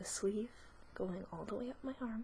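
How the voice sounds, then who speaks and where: This woman speaks in a whisper. Her voice is soft-spoken. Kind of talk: ASMR casual talk to camera. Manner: soft-spoken, whispering.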